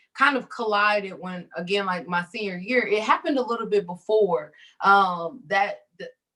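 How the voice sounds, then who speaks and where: This woman has a plain, everyday voice with an American accent. She speaks fairly slowly at a medium pitch, with ordinary pitch variation. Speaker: psychologist. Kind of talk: interview. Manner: casual, conversational with fillers.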